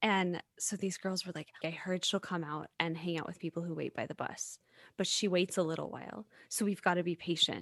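In an ordinary speaking voice, a woman with an American accent talks at a fairly quick pace and fairly low pitch, her intonation fairly even, the sound dry and close with no echo over a quiet background. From US South. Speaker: podcast host, singer-songwriter. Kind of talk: casual interview chat.

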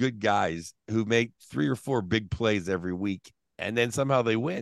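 The setting is quiet. A man talks with an American accent. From Pittsburgh, US. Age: 50s. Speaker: stand-up comedian. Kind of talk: casual chat.

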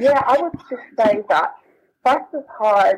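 A woman's voice in a South London accent, with ordinary pitch variation. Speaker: author and diversity program manager. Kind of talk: interview.

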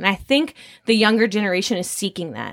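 A woman with an ordinary speaking voice speaks at medium pitch with ordinary pitch variation, the sound dry and close with no echo. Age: 20s. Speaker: student ministry worker. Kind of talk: casual panel discussion.

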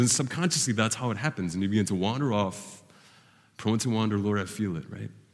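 Speaking at a very fast pace, a man with a fairly low pitch is heard with audible room echo. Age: 30s. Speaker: pastor. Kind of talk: sermon. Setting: church.

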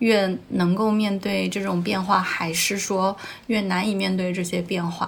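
Noticeable background noise runs under a monotone voice with flat intonation. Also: woman, medium pitch for a woman, fairly slow pace. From China, smaller non-tier-1 city. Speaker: LGBTQ interviewee, friend of host. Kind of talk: casual chat.

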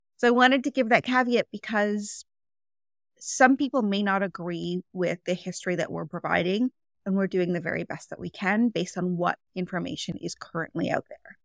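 A woman with a Canadian accent speaks in an ordinary speaking voice at medium pitch and a moderate pace. Her pitch varies in an ordinary way, and the sound is dry and close with no echo. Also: very clean recording, silent background. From Canada, Toronto. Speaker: podcast host, nutritionist. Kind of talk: casual chat.

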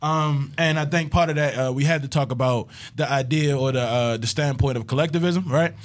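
In a plain, everyday voice, a man talks at a fairly quick pace with a fairly high pitch and fairly even intonation. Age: 20s. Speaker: podcast host. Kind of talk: casual chat.

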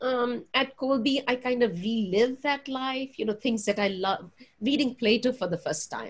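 A woman speaks with a Punjabi accent. Her voice is high and her pace moderate. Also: ordinary pitch variation. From Punjab, India. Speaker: religion professor. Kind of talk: interview. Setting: video call.

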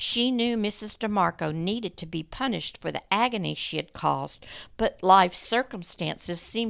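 A woman speaks at a medium pitch in a dramatic tone, with vocal fry. She barely pauses, and the recording is very clean with a silent background. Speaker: true crime podcast host. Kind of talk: scripted true-crime narration. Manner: grave, measured storytelling; dramatic, hushed tension; formal, clear, steady.

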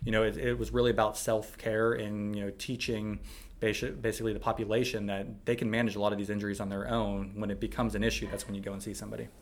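A man with an American accent, a fairly low pitch, a very fast pace, and monotone, flat intonation, with audible room echo. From Pittsburgh, Pennsylvania. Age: 30s. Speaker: physical therapist. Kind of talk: casual interview. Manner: halting, many fillers.

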